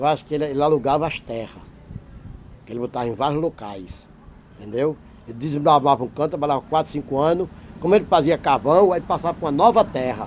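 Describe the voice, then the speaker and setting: A man's fairly high, lively voice at a very fast pace, broken by long, frequent pauses. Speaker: interviewee, local resident. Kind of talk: oral history interview. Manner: clear diction, no stammer.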